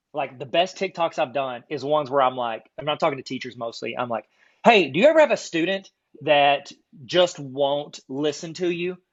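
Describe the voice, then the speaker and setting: A man with an American accent speaks at a fairly high pitch. His pitch varies in an ordinary way. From US South (south Arkansas). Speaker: card collecting YouTuber and teacher trainer. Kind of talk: casual podcast chat. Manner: fast; animated.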